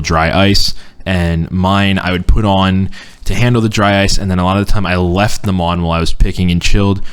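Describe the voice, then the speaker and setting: Very deep, low male voice, monotone and flat, at a fairly quick pace. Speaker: podcast host. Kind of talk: casual chat. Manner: stutters when uncomfortable or talking fast.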